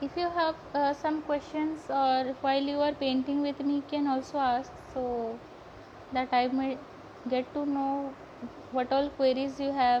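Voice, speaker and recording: A woman with an Odisha accent speaks in a high pitch at a fairly slow pace, with monotone, flat intonation. She leaves long, frequent pauses over noticeable background noise. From India, Odisha. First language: Odia. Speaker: sketchbook artist and painting teacher. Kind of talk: live painting tutorial. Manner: halting, many fillers.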